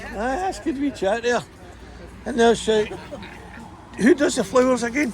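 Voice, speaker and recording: A man with a west of Scotland accent speaks at an extremely high pitch with ordinary pitch variation and a moderate pace. Crowd noise fills the background. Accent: Scottish (west of Scotland). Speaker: travel vlogger. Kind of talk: casual chat. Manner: animated.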